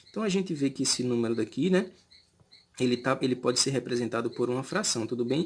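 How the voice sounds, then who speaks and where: Man speaking at a fairly quick pace with lively intonation over a quiet background. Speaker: math teacher. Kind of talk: lecture. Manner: fast; hesitant, many fillers.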